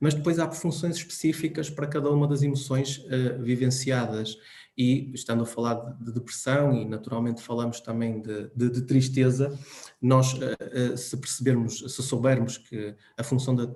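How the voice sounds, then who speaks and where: Over noticeable background noise, a man speaks at a medium pitch and moderate pace with fairly even intonation. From Portugal. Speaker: psychologist speaker. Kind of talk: talk. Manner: hesitant.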